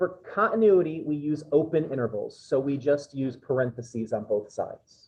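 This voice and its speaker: A man's fairly high, somewhat breathy voice with lively intonation, at a moderate pace and with hardly any pauses. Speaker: math instructor. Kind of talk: classroom lecture. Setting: classroom with students. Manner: conversational.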